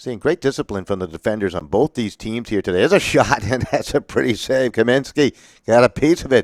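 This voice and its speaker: A man with a Massachusetts accent talks at a fairly quick pace and medium pitch with lively intonation, on a very clean, dry, close recording with a silent background and no echo. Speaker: sports play-by-play announcer. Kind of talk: live commentary.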